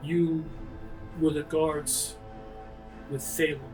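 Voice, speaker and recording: Clear music plays in the background. A man uses a put-on character voice at a fairly high pitch. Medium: actual play. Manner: calm, terse.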